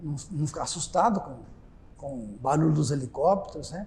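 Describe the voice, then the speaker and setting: Male voice with a dark, mellow tone and lively intonation, in audible room echo. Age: 70s. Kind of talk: oral history testimony. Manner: halting, with frequent repetitions.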